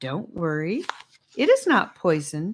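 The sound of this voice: Slow and slightly husky at the edges, this put-on character voice swings very widely in pitch. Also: woman, fairly low pitch for a woman.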